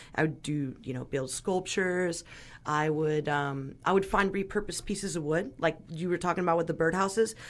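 With an American accent, a woman uses an ordinary speaking voice at a fairly low pitch, moderate pace, and ordinary pitch variation against a quiet background. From Northern California, Sonoma County. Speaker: radio host, drummer and restaurant worker. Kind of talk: casual interview chat. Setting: radio studio.

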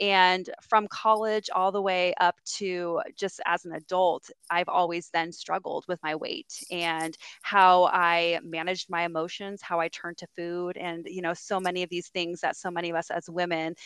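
A woman with a West Coast US accent speaks at a fairly low pitch in a monotone, flat intonation, the sound dry and close with no echo on a very clean recording with a silent background. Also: moderate pace. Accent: General American (West Coast). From California, US (San Diego). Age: 40s. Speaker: youth services director and social media influencer. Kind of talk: casual interview chat.

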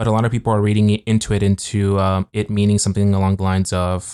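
A man with an unremarkable speaking voice talks at a fairly quick pace and fairly low pitch with fairly even intonation, in a very clean, dry, close recording with no echo and a silent background. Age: 30s. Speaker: podcast co-host. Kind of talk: casual chat. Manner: casual, rambling.

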